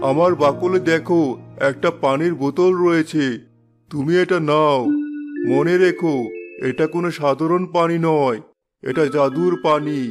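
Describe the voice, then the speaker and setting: Using a cartoonish character voice with a gentle tone and a fairly high pitch, a man speaks at a fairly slow pace over faint background music. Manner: gentle, fatherly.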